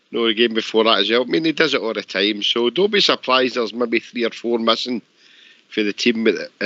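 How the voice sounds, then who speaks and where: A man with a Glasgow accent talks in a medium pitch with ordinary pitch variation. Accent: Scottish (Glasgow). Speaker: caller. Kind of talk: casual chat. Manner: halting.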